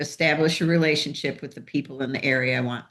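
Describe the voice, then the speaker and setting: The woman's voice is very deep and low in pitch. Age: 60s. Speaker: real estate agent. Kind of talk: presentation.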